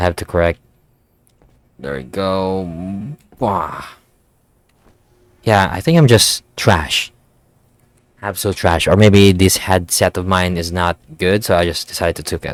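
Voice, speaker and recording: A man speaks in a very deep, low voice at a fairly slow pace, with long, frequent pauses. His pitch varies in an ordinary way, and the sound is dry and close with no echo. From Philippines. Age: 20s. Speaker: gaming YouTuber. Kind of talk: gameplay commentary. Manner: casual, rambling.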